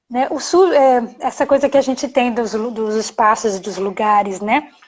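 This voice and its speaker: A woman speaks at a moderate pace with a strong Bahian accent. Her pitch is high. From Bahia, Brazil (Salvador). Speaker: anti-bullying educator, live stream host. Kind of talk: live stream talk. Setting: live video stream. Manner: animated. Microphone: connection freezing.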